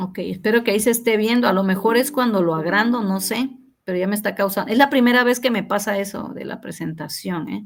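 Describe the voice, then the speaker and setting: Fairly quick speech from a woman at medium pitch, with vocal fry and ordinary pitch variation. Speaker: university teacher. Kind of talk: online class feedback session. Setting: video call.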